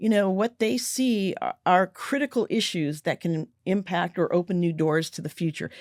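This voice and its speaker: In a very clean recording with a silent background, a woman speaks in a plain, everyday voice at a medium pitch and a moderate pace. Her intonation is lively, she hardly pauses, and the sound is dry and close with no echo. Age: 60s. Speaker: business author and communicator. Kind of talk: interview conversation.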